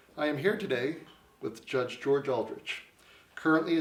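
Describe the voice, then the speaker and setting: At a fairly quick pace, a man talks in an ordinary speaking voice. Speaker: embassy legal advisor. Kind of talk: interview questions.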